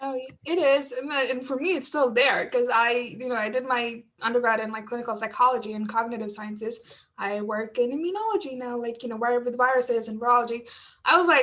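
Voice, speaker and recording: A woman with a bright, sharp tone and a high pitch talks at a fairly quick pace. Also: hardly any pauses. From outside the US. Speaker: graduate student panelist. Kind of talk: panel discussion.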